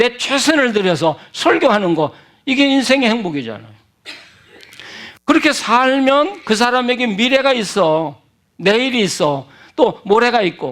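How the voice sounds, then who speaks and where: A man speaks at an extremely high pitch. His intonation is lively. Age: 70s. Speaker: retired pastor, guest preacher. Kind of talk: sermon. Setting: church revival meeting.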